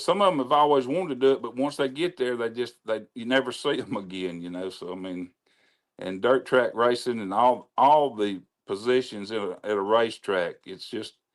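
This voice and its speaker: Speaking at a fairly quick pace with a Mississippi accent, a man with a medium pitch uses lively intonation and big swings in loudness in a very clean recording with a silent background. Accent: Southern US (Mississippi). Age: 70s. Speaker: racetrack announcer. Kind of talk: casual chat.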